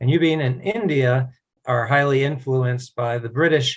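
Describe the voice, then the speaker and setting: A man speaks at a moderate pace and medium pitch with an American accent. His voice is somewhat breathy. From US East Coast, Virginia. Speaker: native English conversation partner. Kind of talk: casual conversation practice.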